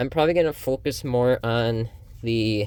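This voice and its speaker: This man speaks at a fairly slow pace. His pitch is medium. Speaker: YouTuber reviewing card game decks. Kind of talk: deck profile talk to camera. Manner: halting, many fillers; casual, conversational.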